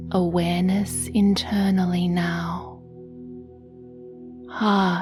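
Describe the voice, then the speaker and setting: Over music in the background, a woman speaks at a very slow pace, her fairly low pitch showing ordinary pitch variation. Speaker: meditation guide. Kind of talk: sleep meditation guidance.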